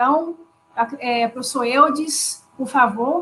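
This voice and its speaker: A woman speaks in a high pitch with a raised, projected voice. Her pace is fairly slow. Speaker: university professor and course coordinator. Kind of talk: panel discussion. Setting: video call live stream. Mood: warm, respectful. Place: home room. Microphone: earbuds.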